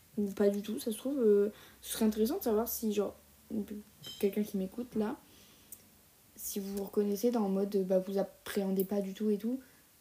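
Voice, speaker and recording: The pace is fairly quick, broken by long, frequent pauses. Intonation stays fairly even. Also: woman, medium pitch for a woman. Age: 20s. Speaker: solo podcaster. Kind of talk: casual monologue. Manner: hesitant, many fillers.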